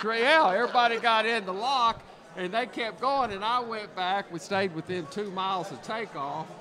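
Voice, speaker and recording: A man with a raised, projected voice and high pitch talks at a moderate pace with ordinary pitch variation over noticeable background noise. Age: 60s. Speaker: professional bass angler. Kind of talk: casual chat. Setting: live event broadcast.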